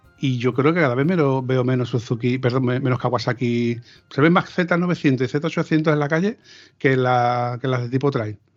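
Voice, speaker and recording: Over a quiet background, a man speaks at a medium pitch. His pace is moderate and his pitch varies in an ordinary way. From Andalusia, Seville province. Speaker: motorcycle podcast host. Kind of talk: casual chat. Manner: halting.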